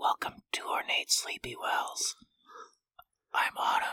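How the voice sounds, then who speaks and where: Whispering in a put-on character voice, the speaker goes at a fairly slow pace. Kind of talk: ASMR video greeting. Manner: soft, calm, soothing.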